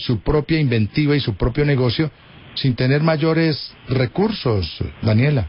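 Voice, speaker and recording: A somewhat breathy man of medium pitch, fairly slow in pace, with ordinary pitch variation. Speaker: radio host. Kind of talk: radio interview.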